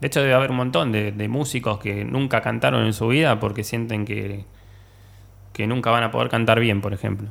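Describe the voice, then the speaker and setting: Speaking with a Rioplatense accent, a man talks at a fairly quick pace. His fairly low pitch has ordinary variation and some vocal fry. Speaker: musician and computer technician. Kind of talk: casual chat. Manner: halting, repeats words.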